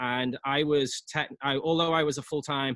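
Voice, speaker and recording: Fairly high in pitch, a man with a Liverpool accent speaks at a moderate pace with fairly even intonation. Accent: English (Liverpool), noticeable. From England, Liverpool. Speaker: real estate agent. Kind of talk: casual interview.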